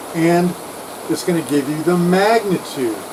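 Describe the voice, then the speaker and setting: A man's high-pitched voice at a fairly slow pace, with ordinary pitch variation and noticeable background noise. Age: 60s. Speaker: retired electronics engineer. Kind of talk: casual vlog rant. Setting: outdoors on houseboat deck.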